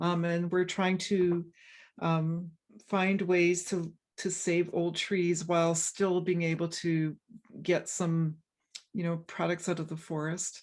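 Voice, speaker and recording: Speaking very slowly, a woman uses a fairly low pitch and monotone, flat intonation. She has a western Canadian accent. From Canada, British Columbia. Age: 60s. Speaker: forest ecologist, professor. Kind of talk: interview conversation. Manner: halting, many fillers and restarts.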